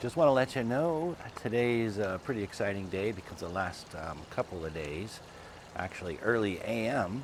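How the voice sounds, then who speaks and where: Lively intonation runs at a moderate pace over noticeable background noise. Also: man. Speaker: channel host filming sky sightings. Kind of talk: casual vlog narration. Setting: outdoors at home, night. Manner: halting, many fillers; speaking low and quiet.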